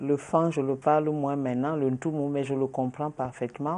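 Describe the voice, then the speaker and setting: A woman speaks with a Nigerian accent in a very deep, low voice with a dark, mellow tone. Her intonation stays fairly even over a quiet background. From Cameroon, south (Ambam). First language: Wodi (speaking French). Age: 60s. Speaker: journalist and politician. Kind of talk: interview.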